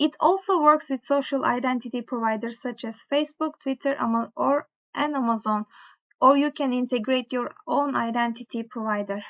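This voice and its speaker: With a quiet background behind them, the speaker talks with a strong non-native accent. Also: woman, high pitch for a woman, ordinary pitch variation, moderate pace. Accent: strong foreign accent (own remark). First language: not English. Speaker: tech tutorial creator. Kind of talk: tutorial, reading course material aloud; reading course text aloud with casual asides. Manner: halting, with fillers and self-corrections. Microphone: webcam.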